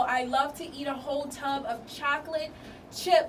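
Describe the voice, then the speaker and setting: A woman's high-pitched voice with an American accent, fairly slow pace, ordinary pitch variation and animated tone, amid audible room echo and noticeable background noise. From US, Baltimore, Maryland. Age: 20s. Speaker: student, actress and step team founder. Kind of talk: radio interview. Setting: radio studio.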